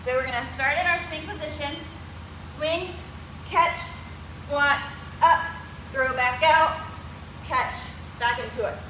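A woman speaks in a raised, projected voice with lively intonation, with audible room echo and noticeable background noise. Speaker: fitness coach. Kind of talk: workout tutorial. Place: gym. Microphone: camera far.

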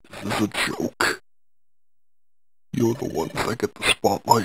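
A man talks at a moderate pace, his voice at a medium pitch. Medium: audio drama. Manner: bitter, sarcastic, hurt.

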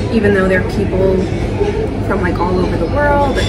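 There is loud background noise while a woman speaks. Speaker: vlogger. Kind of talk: casual vlog chat. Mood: relaxed, chatty. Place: cafe. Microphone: phone near.

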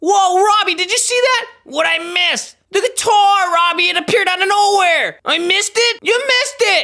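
At a moderate pace and with hardly any pauses, the speaker uses a cartoonish character voice with an extremely high pitch. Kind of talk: comic overacting. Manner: excited, goofy, then oddly intense.

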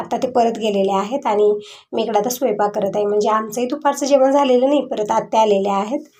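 Fairly even intonation marks this woman's speech. Her pitch is fairly high, and her tone is dark and mellow. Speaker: home vlogger. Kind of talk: casual vlog narration.

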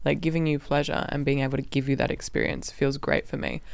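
In a very clean recording with a silent background, a woman with an extremely low pitch and vocal fry talks at a fast pace with little pitch movement.

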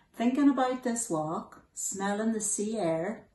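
A woman with a Donegal accent speaks at a fairly slow pace, somewhat breathy, with ordinary pitch variation. Audible room echo surrounds her voice. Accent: Donegal Irish. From Donegal, Ireland. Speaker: charity director. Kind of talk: personal video message to camera. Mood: warm, earnest.

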